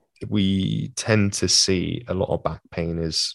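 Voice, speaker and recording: In a quiet background, a man with a British accent talks with ordinary pitch variation and a dry, close sound with no echo. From UK. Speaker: physiotherapist and former mixed martial artist. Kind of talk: interview conversation.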